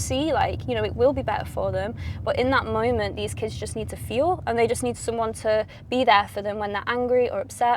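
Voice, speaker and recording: A woman speaks with a Mancunian accent. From Manchester, England. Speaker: pop singer. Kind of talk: interview. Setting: in a car.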